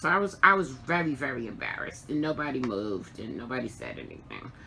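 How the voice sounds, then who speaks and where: At a fairly quick pace, a woman with a very deep, low pitch swings her voice very widely. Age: 60s. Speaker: crafting vlogger. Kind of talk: casual chat. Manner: halting.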